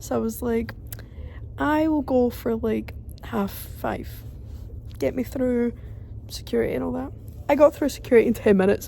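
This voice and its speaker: A woman talks in a Glaswegian accent. Her pace is moderate. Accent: Glaswegian Scottish. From London, England; raised in Glasgow, Scotland. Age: 20s. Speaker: vlogger. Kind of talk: travel vlog, casual talk to camera. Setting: airport.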